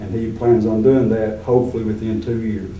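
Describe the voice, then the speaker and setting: A man with an American accent speaks at a moderate pace in a fairly low voice. Noticeable background noise and audible room echo fill the recording. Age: 60s. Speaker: retired teacher, political candidate. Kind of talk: candidate interview.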